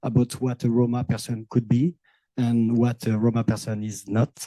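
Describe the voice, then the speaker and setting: This voice has a dark, mellow tone and a French accent, with fairly even intonation at a moderate pace. The sound is dry and close, with no echo. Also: man. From France, Manouche Sinti community. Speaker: visual and performance artist. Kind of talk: roundtable discussion. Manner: halting.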